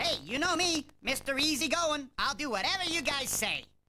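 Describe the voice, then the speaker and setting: A cartoonish character voice, high in pitch, moves at a moderate pace. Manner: sly, sarcastic.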